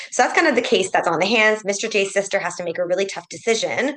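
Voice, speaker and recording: A woman talking at a very fast pace with lively intonation. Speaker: clinical ethicist. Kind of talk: case presentation in a webinar. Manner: loud.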